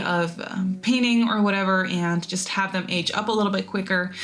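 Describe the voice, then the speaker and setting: A woman with a medium pitch speaks at a moderate pace while noticeable background noise fills the recording. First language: not English. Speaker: gaming YouTuber. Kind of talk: voiceover narration of a game build. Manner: casual, rambly with fillers.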